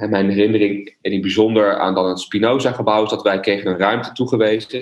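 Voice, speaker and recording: A fairly low-pitched man's voice at a fairly quick pace, with noticeable background noise. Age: 30s. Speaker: former psychology student. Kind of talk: personal reminiscence.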